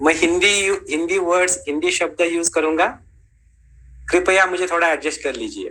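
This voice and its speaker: In a Marathi accent, a man speaks at a high pitch with a bright, sharp tone. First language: Marathi (speaking Hindi). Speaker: ayurveda teacher. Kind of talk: lecture.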